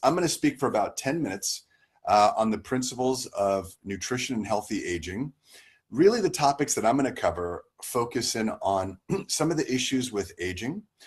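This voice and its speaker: A man with an American accent has an ordinary speaking voice and lively intonation. He keeps a moderate pace against a quiet background. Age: 50s. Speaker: family medicine doctor. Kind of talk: talk on health.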